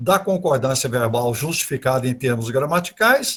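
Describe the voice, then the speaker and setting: A man's fairly slow, somewhat breathy delivery carries lively intonation. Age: 70s. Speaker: speaker on literature and Portuguese grammar. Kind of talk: online talk / lecture. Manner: hesitant, with many repetitions and fillers.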